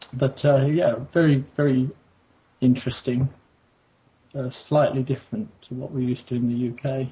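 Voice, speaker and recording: With an English accent, a man speaks at a moderate pace in a medium, somewhat breathy voice, keeping his intonation fairly even and leaving long, frequent pauses. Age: 50s. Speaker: pilot. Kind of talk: interview. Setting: internet call. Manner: halting.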